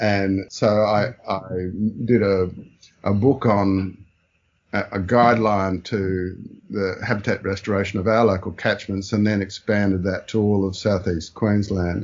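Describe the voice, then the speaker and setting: With an Australian accent, a man speaks at a fairly slow pace, his fairly low pitch delivered in monotone, flat intonation. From Brisbane, Australia. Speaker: taxonomist and spider expert. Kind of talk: interview.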